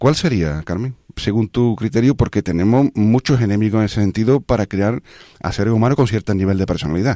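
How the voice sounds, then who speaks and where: A dark, mellow voice speaks at a fairly quick pace with ordinary pitch variation, recorded very cleanly in a dry, close sound with no echo against a silent background. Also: man, fairly low pitch for a man. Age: 60s. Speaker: radio host. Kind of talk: casual chat. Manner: halting.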